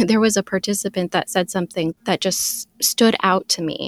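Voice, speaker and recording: An unremarkable speaking voice from a woman, medium in pitch with fairly even intonation, at a moderate pace, on a very clean recording with a silent background and a dry, close sound with no echo. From US, Filipino and Puerto Rican immigrant family. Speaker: psychology doctoral intern. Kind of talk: interview. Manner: articulate, formal.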